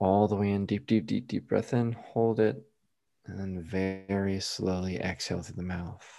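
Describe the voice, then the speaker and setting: With fairly even intonation, a man at fairly low pitch speaks in an unremarkable speaking voice. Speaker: hypnotist and illusionist. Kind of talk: guided hypnosis induction, slow soothing delivery. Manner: casual and chatty, joking in normal talk.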